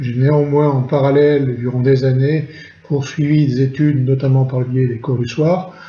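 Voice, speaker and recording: Audible room echo surrounds a man whose somewhat breathy voice has a dark, mellow tone. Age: 60s. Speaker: retired chemical industry engineer. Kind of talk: testimony. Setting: recorded at home during lockdown. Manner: halting, frequent hesitations.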